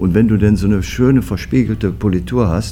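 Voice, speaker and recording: Through audible room echo and noticeable background noise, a man with a very deep, low pitch speaks with very wide pitch swings. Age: 60s. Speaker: foundry managing director. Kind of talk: interview.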